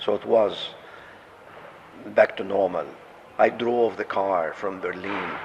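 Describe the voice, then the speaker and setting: With an Arabic accent, a man speaks at a very slow pace with long, frequent pauses over noticeable background noise. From Jordan. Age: 70s. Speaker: patient and orthopedic surgeon. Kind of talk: interview testimony.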